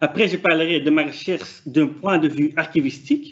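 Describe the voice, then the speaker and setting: A man with a Flemish accent speaks at a moderate pace with fairly even intonation. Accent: non-native French, Flemish. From Flanders, Belgium. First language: Dutch (speaking French). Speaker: PhD student researcher. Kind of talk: conference presentation. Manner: hesitant, many fillers.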